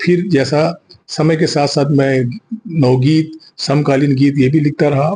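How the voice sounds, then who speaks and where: A man's somewhat breathy voice, fairly high in pitch with a dark, mellow tone. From Chhattisgarh, India. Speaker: poet and writer. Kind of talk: interview.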